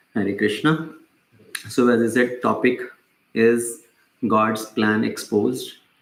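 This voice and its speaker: The delivery is very slow. Some room echo can be heard. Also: man. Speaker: spiritual teacher. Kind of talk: lecture. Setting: small group in person, no mic. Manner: loud. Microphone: no mic, voice caught directly.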